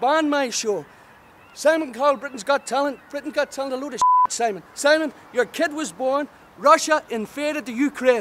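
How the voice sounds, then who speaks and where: A man with an extremely high pitch at a moderate pace, against loud background noise. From Northern Ireland. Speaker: stand-up comedian. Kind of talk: stand-up comedy promo with live-style ranting. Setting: direct-to-camera promo video. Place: waterside. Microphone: phone near.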